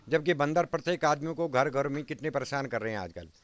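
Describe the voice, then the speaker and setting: The recording is very clean, with a silent background. A man speaks in a plain, everyday voice, fairly high in pitch, with ordinary pitch variation. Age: 60s. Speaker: village elder. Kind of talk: interview.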